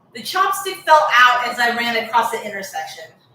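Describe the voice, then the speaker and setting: Over noticeable background noise, a woman with an American accent talks at a moderate pace in a high pitch with very wide pitch swings. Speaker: hair care vlogger. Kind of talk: casual story-time chat. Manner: conversational, many fillers.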